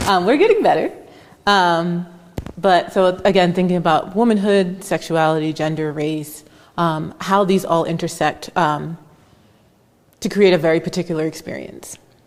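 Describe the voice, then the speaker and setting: Speaking with an American accent at a moderate pace, a woman keeps her intonation fairly even and leaves long, frequent pauses. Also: fairly low pitch for a woman. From United States. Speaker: moderator, student affairs administrator. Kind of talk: panel conversation. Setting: art gallery with audience.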